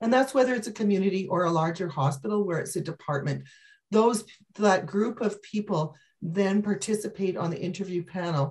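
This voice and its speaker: Against a quiet background, a somewhat breathy woman talks at a fairly quick pace with ordinary pitch variation. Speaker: physician resource planner. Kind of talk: webinar Q&A. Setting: video call. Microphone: video call.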